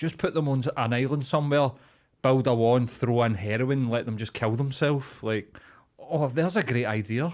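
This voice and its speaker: With a Glaswegian accent, a man talks at a moderate pace and medium pitch with ordinary pitch variation, in a very clean recording with a silent background. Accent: Glaswegian Scottish. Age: 30s. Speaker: comedian and podcast host. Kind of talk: casual chat. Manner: animated.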